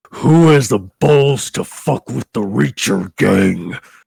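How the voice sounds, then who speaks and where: Slowish in pace, a man puts on a character voice pitched fairly low, with very wide pitch swings. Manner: menacing.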